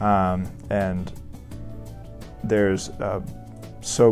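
Over clear music in the background, a man speaks with a Southern US accent at a very deep, low pitch. His intonation stays fairly even. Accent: Southern American. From Augusta, Georgia, USA. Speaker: family medicine resident doctor. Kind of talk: interview answer. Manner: hesitant, many fillers. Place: office. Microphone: lapel.

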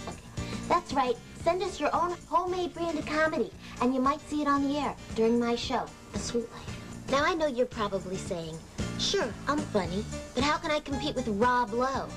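Clear music plays in the background as a woman speaks at a moderate pace. Her voice is high-pitched and swings very widely in pitch. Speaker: TV host. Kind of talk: comedic TV promo read. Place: home room.

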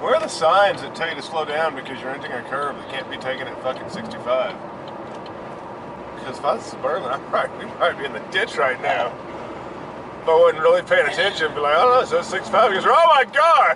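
A man talks at a very fast pace. Noticeable background noise runs under his voice. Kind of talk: casual vlog chat. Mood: amused, excitable, swearing. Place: car. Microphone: phone near.

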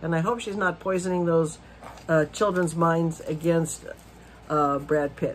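A woman's fairly low voice at a moderate pace, with light background noise. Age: 60s. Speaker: video blogger. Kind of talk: casual monologue rant. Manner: animated. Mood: disapproving, indignant. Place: home room. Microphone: phone near.

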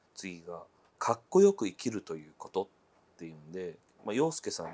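Male speech, delivered at a moderate pace. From Japan. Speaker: interviewer. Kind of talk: interview.

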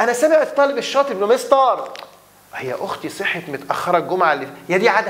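A man with an Egyptian accent speaks very fast in an animated tone, his pitch high with very wide swings. His loudness rises and falls sharply. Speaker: English teacher. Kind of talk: lecture. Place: classroom.

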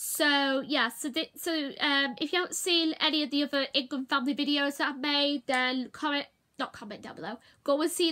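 A woman's raised, projected voice with fairly even intonation. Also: quiet background. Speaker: vlogger. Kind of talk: casual vlog chat. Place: home room. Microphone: phone near.

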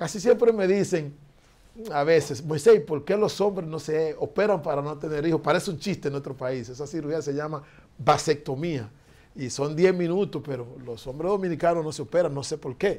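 Speaking at a moderate pace, a man uses a fairly high pitch with ordinary pitch variation. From Dominican Republic. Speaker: foundation director; interview guest. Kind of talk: interview. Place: studio. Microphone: lapel.

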